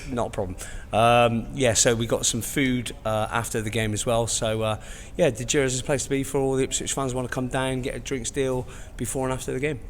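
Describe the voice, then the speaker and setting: Fairly quick, medium-pitched speech from a man, with fairly even intonation and audible room echo. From Bristol, England. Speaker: marketing business owner. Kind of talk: casual chat.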